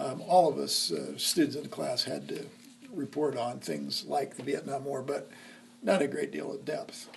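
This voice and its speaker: With a Midwestern American accent, the speaker keeps a moderate pace over noticeable background noise. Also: man. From Nebraska, Lincoln. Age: 60s. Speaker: history teacher. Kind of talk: oral history interview. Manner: hesitant, many fillers.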